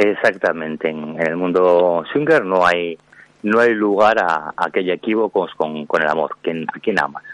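The man's pitch is very deep and low, with ordinary variation. He talks fairly slowly in a dry, close sound with no echo. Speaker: author. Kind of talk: interview.

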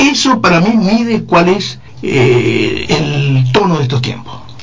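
There is noticeable noise behind the man speaking, and his voice echoes audibly off the room. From Uruguay. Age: 60s. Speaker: retired philosophy teacher. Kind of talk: panel debate.

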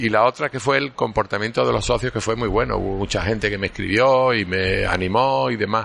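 Lively intonation and vocal fry mark this fairly quick delivery with hardly any pauses. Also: man, fairly low pitch for a man. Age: 60s. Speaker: orthopaedic surgeon. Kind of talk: interview. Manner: halting.

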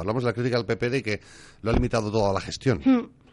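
A man talking at a very fast pace. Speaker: radio host. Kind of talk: talk radio discussion.

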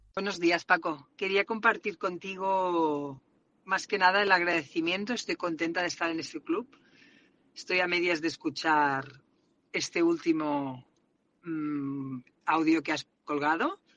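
Speaking with a strong Catalan accent, a woman talks at a fairly slow pace in a fairly low pitch with ordinary pitch variation. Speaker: salesperson, listener sending a voice message. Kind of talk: personal voice message.

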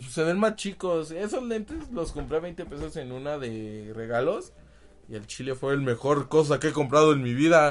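A man with a Mexican accent, fairly high in pitch, animated in tone, at a moderate pace. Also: lively intonation. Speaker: podcast host. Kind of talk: casual chat.

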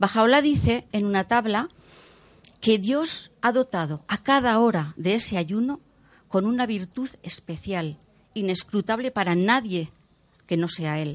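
Against a quiet background, a woman with a plain, everyday voice speaks at a medium pitch and a fairly slow pace, her intonation lively. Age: 60s. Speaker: Bahá'í community representative. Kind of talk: panel talk. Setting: stage with audience.

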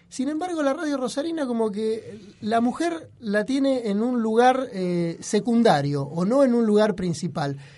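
Speech with very wide pitch swings moves at a fairly slow pace with hardly any pauses, against noticeable background noise. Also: man, extremely high pitch for a man. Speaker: radio host. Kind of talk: casual chat. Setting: studio. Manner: poor diction.

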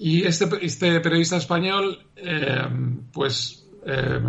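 With ordinary pitch variation, a man's fairly high voice comes through noticeable background noise. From Uruguay, raised abroad in several countries. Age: 50s. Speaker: novelist. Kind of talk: interview.

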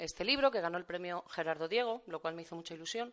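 An ordinary speaking voice from a woman of medium pitch, lively in intonation, over a quiet background. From Valencia, Spain. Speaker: poet and literature teacher. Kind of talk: poetry reading and talk. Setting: venue with live audience.

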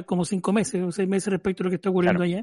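A dark, mellow tone in a dry, close sound with no echo and a quiet background. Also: man. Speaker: philosophy teacher and radio panelist. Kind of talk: casual radio panel discussion.

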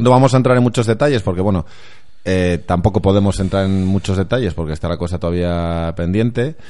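With a dark, mellow tone and a very deep, low pitch, a man speaks at a fairly quick pace with ordinary pitch variation. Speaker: football podcast co-host. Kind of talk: casual chat.

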